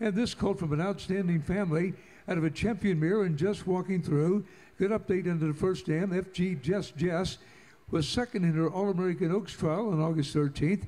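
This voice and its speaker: The man's pitch is high and his tone is dark and mellow. His loudness stays very even, and his intonation is fairly even. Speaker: auction announcer. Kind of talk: pedigree announcement at live auction. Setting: live auction sale ring. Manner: fluent, promotional, reads catalog details quickly. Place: hall.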